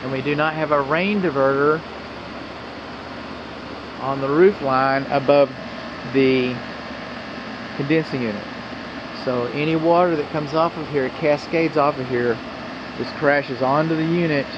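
Someone with an American accent talks at a fairly slow pace with long, frequent pauses and ordinary pitch variation, over clear background noise. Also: man, fairly high pitch for a man.

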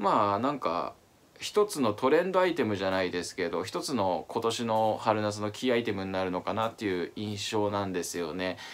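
A man with a fairly low pitch, ordinary pitch variation and a fairly quick pace. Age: 30s. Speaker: fashion YouTuber. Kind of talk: casual talk to camera. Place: home room.

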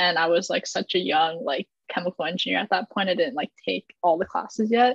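Dry, close sound with no echo carries a woman's unremarkable speaking voice in an American accent. She talks at a fairly quick pace in a medium pitch with ordinary pitch variation. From Omaha, Nebraska, US Midwest. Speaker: engineering student. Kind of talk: casual chat.

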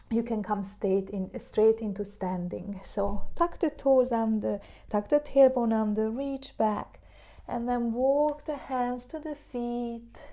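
Soft-spoken with a soothing, calm tone that is also dark and mellow, a woman with a Hungarian accent talks at a very slow pace, her fairly high pitch showing ordinary variation, over a quiet background. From Hungary. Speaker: yoga teacher. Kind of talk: guided meditation and yoga class instruction. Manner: slow, soothing, calm; gentle, encouraging, soft-spoken. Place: home room. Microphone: camera far.

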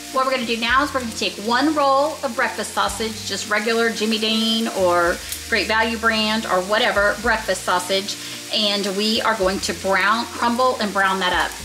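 Over faint background music, a woman talks at a moderate pace with ordinary pitch variation. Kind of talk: tutorial. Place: kitchen.

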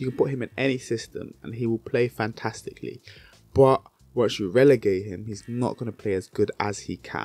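A man with a British accent talks at a fairly quick pace and medium pitch, his intonation fairly even and the sound dry with no echo. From Britain. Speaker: basketball YouTuber. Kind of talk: solo commentary video. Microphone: handheld.

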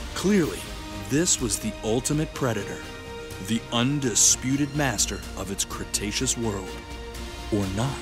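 A man talks at a fairly slow pace in a dry sound with no echo, with clear music in the background. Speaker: voice actor. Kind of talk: nature documentary narration.

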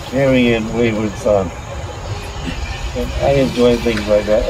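Over noticeable background noise, a man talks at a fairly slow pace with ordinary pitch variation in a dry sound with no echo. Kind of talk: interview answer. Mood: wry, lightly humorous.

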